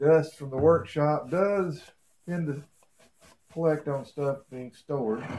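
At a slow pace, a man speaks in a fairly high pitch with ordinary pitch variation and a slightly mellow tone.

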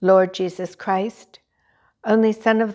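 A woman speaking at a very slow pace against a quiet background. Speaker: lay reader leading prayer. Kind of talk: morning prayer service, liturgical reading and fervent prayer. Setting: church chapel, recorded service. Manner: formal, reverent, solemn; fervent, earnest, devotional. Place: church.

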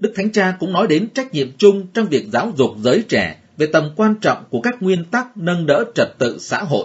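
This man speaks in a high pitch at a moderate pace, barely pausing, his intonation lively. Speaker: religious news reader. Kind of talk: news reading.

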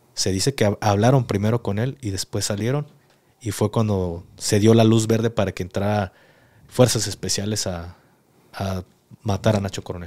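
His voice dark and mellow with fairly low pitch, a man speaks at a moderate pace with fairly even intonation. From Mexico. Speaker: podcast host, former soldier; podcast host. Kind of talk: interview. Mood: serious, calm storytelling. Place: studio. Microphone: studio mic.

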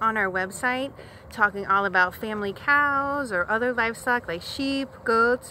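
In a dry sound with no echo and light background noise, a woman speaks high-pitched with a bright, sharp tone and lively intonation. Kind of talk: casual vlog chat. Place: open country. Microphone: phone near.

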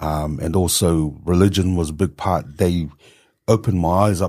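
Against a quiet background, a man with a very deep, low pitch and a dark, mellow tone keeps his intonation fairly even. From New Zealand, Tongan-born. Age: 50s. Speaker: economist and policy advisor. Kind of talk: podcast interview. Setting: studio with camera. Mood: reflective, warm storytelling. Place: studio. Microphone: studio mic.

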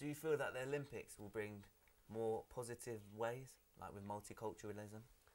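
A man talks at a fairly quick pace and a medium pitch. He has an unremarkable speaking voice. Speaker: student show presenter. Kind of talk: studio discussion show. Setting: studio. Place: studio.

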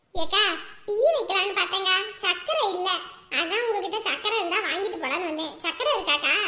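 A woman's cartoonish character voice at an extremely high pitch, moderate pace and lively intonation, over light background noise. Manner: chatty, friendly, gossipy.

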